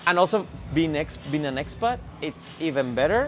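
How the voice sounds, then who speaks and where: A man with a Spanish accent. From Spain. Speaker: gym member. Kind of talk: interview. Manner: halting, many restarts.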